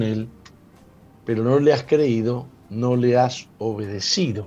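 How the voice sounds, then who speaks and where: In a room with audible echo, a man speaks very slowly at a medium pitch with ordinary variation. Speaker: pastor and radio host. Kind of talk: radio sermon.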